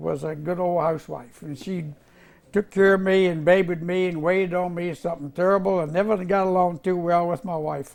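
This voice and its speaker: The speaker talks at a fairly quick pace in a Virginia accent, with fairly even intonation. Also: man, high pitch for a man. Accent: Southern American (Virginia). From US South, Virginia (Roanoke area). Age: 80s+. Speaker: war veteran. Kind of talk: oral history interview. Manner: halting.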